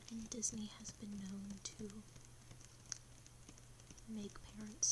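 Noticeable background noise sits under this woman's speech. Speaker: ASMR creator. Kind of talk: ASMR fact-telling. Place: home room. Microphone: webcam.

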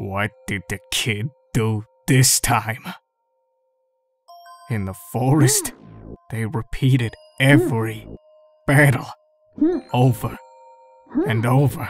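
Faint music plays in the background as a put-on character voice at a low-to-middle pitch speaks fairly slowly with long, frequent pauses. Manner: laid-back, dry.

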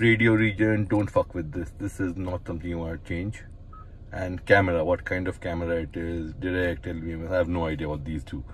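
Delivered at a fairly quick pace, the speech keeps a fairly even intonation. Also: man, low pitch for a man.

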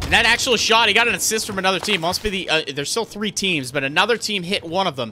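Over faint background music, a man speaks very fast in a raised, projected voice with an excited, energetic tone. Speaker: live game commentator (shoutcaster). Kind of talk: live esports-style game commentary. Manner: fast, excited, energetic. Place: home room. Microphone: studio mic.

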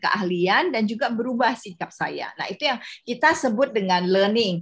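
A woman is speaking at a moderate pace. The background is quiet. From West Kalimantan, Pontianak; West Kalimantan, Indonesia. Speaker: corporate university consultant; workshop trainer. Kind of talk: workshop presentation. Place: home room. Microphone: webcam.

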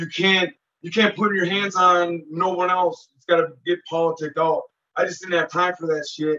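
A man's high, bright, sharp voice at a moderate pace against a quiet background. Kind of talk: interview answer. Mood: intense storytelling. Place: home room. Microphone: video call.

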